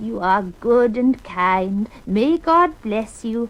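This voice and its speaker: Using a put-on character voice at a fairly high pitch, a woman speaks at a very slow pace. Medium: read story. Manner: wheedling, mischievous.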